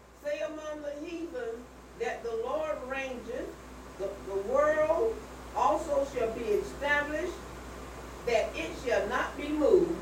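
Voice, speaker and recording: Against noticeable background noise, a woman with a high pitch and lively intonation speaks at a very slow pace with long, frequent pauses. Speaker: scripture reader. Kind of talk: reading aloud. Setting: church.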